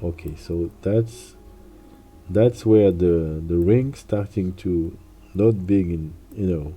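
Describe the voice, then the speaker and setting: Music plays in the background as the speaker talks in a French accent at a very slow pace. Pauses are long and frequent, and the pitch varies in an ordinary way. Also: man, very deep, low pitch for a man. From France. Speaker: illustrator and streamer. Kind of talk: live stream drawing tutorial commentary. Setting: home desk corner, live stream. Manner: halting, with frequent repetitions.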